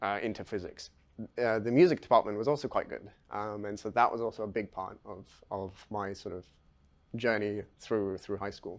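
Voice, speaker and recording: A man's medium-pitched voice with a London accent over a quiet background. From London, England. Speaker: physics PhD student. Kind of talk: interview, personal story. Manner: hesitant, many fillers.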